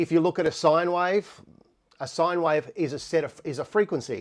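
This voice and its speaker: Against a quiet background, the speaker talks with an Australian accent. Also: man. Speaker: musician and live stream host. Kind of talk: live stream tutorial. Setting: home studio, live stream. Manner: fast.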